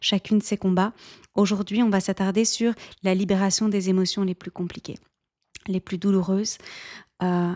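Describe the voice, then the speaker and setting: Her tone dark and mellow, a woman speaks at medium pitch and a moderate pace with fairly even intonation, on a very clean, dry, close recording with no echo and a silent background. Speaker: life coach and podcast host. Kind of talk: solo podcast monologue.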